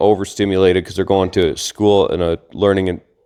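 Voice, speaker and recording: A man speaks at a fairly quick pace. His fairly low voice has monotone, flat intonation. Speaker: podcast co-host, homeschooling father. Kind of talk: casual chat. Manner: loud.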